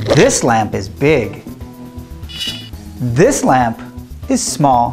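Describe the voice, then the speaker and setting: Clear music sits behind a man with an American accent who speaks at a very slow pace. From California. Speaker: English teacher. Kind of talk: language lesson. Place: studio.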